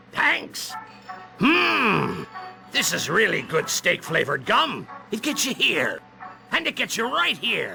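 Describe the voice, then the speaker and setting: Clear music plays in the background. A cartoonish character voice speaks fairly slowly. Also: man, high pitch for a man. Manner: hearty, folksy.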